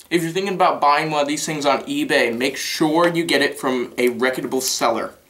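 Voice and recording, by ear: A man's fairly high, fairly bright voice with ordinary pitch variation at a fairly quick pace, with audible room echo.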